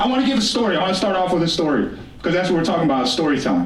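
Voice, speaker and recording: Very wide pitch swings mark this man's speech, delivered with an American accent. Noticeable background noise and audible room echo surround him. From Blackfeet Reservation, Montana, Northern Plains. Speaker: author and storyteller, keynote speaker. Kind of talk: keynote speech. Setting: stage with audience. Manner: loud.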